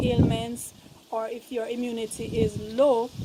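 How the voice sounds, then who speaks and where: Over noticeable background noise, a soft-spoken woman talks in a high pitch. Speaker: vegan lifestyle vlogger. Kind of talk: casual vlog. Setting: outdoors on a rooftop.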